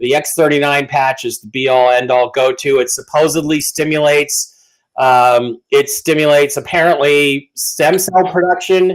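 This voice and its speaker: A man's fairly high voice at a moderate pace, with hardly any pauses. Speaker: online news show host. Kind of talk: sponsor plugs on live news show. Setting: live stream. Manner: loud. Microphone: too close to the mic, too hot.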